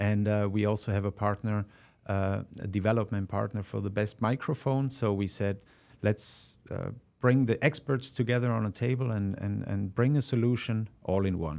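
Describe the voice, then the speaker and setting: A moderate pace with a slight Austrian accent and fairly even intonation, in a very clean recording with a silent background. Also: man, fairly low pitch for a man. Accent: Austrian-accented English, mild. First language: German. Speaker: product manager. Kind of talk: casual interview. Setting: studio. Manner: halting, many fillers.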